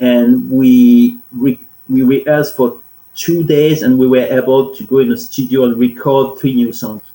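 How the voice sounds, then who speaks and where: Speaking with a French accent, a man uses a dark, mellow tone at medium pitch, keeping a moderate pace and fairly even intonation. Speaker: musician. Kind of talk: interview.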